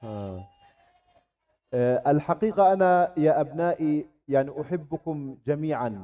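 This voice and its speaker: A man speaks very slowly in an Arabic accent, with long, frequent pauses. His voice is fairly high in pitch, with lively intonation. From Gaza, Palestine. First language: Arabic (speaking Indonesian). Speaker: Islamic scholar. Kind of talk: religious talk to students. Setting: Islamic boarding school. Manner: halting in Indonesian.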